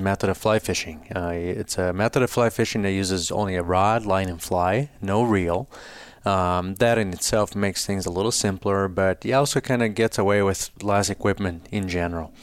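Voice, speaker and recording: Pitch rises and falls in an ordinary way while the delivery keeps a moderate tempo. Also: man, hardly any pauses. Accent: Brazilian. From Brazil. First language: Portuguese. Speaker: fly fishing business founder. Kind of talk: casual interview conversation.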